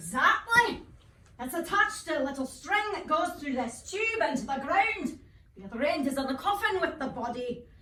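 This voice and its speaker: A woman's put-on, gruff character voice, high in pitch with very wide pitch swings, at a moderate pace with a slight echo. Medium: stage play. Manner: chuckling, gruff.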